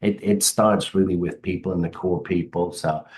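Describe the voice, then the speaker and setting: A man with an English accent speaks at a moderate pace, his very deep, low voice dark and mellow in tone. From England, Derby area. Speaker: HVAC business owner. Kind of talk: podcast interview. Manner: halting, many fillers.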